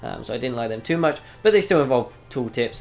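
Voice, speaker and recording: A man with a British accent, very fast pace and lively intonation. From United Kingdom. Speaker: gaming YouTuber. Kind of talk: game review commentary. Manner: casual with many fillers.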